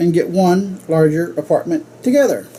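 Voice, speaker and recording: With noticeable background noise, a man with an American accent talks using lively intonation. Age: 60s. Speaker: club speaker. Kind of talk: humorous speech.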